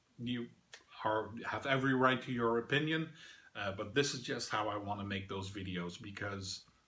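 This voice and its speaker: A bright, sharp tone carries speech at a moderate pace. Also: man. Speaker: board game reviewer. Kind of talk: review. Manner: hesitant, many fillers.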